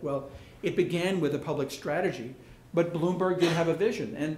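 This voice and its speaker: Amid audible room echo, a man with a fairly high pitch and ordinary pitch variation talks at a moderate pace. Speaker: architect. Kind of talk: lecture.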